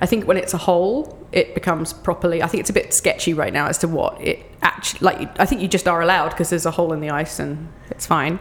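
A woman talks at a very fast pace with an English accent and a fairly low pitch. Noticeable background noise runs under her speech. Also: ordinary pitch variation. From England. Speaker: children's book writer and cold water plunger. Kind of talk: casual interview. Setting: outdoors at a park trailhead.

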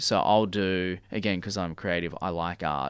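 A very slow pace in an Australian accent, with ordinary pitch variation, on a very clean recording with a silent background. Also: man. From Sydney, Australia (northern beaches). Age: 30s. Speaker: fashion designer and business owner. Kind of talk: casual interview chat. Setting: radio studio.

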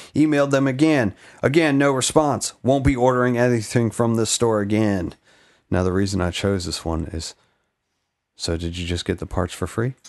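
Against a quiet background, a man talks at a moderate pace and medium pitch. His tone is animated and his intonation lively. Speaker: podcast host. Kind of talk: casual chat.

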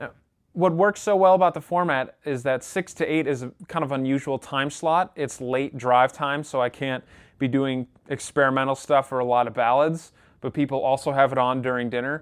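A man talks at a moderate pace and a fairly high pitch. His pitch varies in an ordinary way, over a quiet background. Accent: Western New York. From Rochester, New York. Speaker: podcast host and radio presenter. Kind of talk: casual interview chat.

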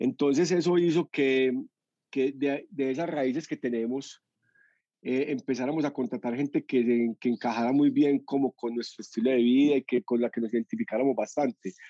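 Against a quiet background, a man with a Medellín accent speaks at a medium pitch in a dark, mellow tone with ordinary pitch variation, the sound dry and close with no echo. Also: moderate pace. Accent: Medellín (paisa). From Colombia, Medellín. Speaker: entrepreneur, restaurant co-founder. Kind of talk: interview.

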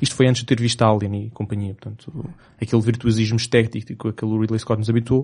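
Over a quiet background, a man speaks at medium pitch in a dark, mellow tone with monotone, flat intonation. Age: 20s. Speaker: podcast host. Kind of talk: casual chat.

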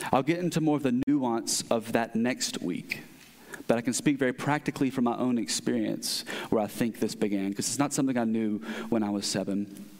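Here a man talks at a fairly quick pace in an unremarkable speaking voice. His pitch is medium, with ordinary variation. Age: 30s. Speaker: pastor. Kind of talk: sermon.

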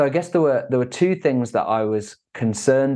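With an English accent, a man talks at a moderate pace. His intonation is lively, and the background is quiet. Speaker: entrepreneur. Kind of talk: interview.

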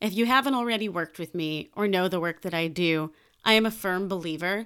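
This woman has an American accent and a medium pitch, speaking at a moderate pace with ordinary pitch variation. The recording is very clean, with a silent background. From Chicago, US Midwest. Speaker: podcast host, creative coach. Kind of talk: solo podcast monologue. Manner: animated.

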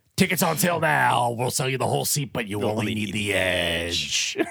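A man's put-on character voice, fairly low in pitch. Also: moderate pace. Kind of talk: promotional ad-read. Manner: loud, hyped, booming.

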